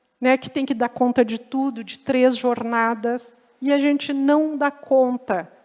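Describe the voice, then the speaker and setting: In a high voice, a woman speaks with fairly even intonation. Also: fairly slow pace. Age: 60s. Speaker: lecturer on healthy aging. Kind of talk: lecture.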